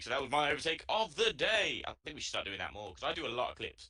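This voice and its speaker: A very fast, bright, sharp delivery with lively intonation and a British accent. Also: man. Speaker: sim racing co-commentator. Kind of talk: live stream commentary chat.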